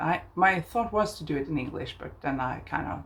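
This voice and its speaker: In a Norwegian accent, a woman speaks at a moderate pace. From southern Norway. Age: 50s. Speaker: craft podcaster. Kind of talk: casual chat. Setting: outdoors on balcony. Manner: halting.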